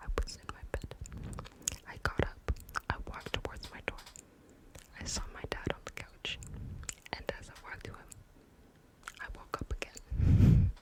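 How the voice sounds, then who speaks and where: A woman whispers fairly slowly as noticeable noise runs in the background. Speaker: ASMR creator. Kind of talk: personal ghost story told in whisper. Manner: casual, conversational, mostly whispered.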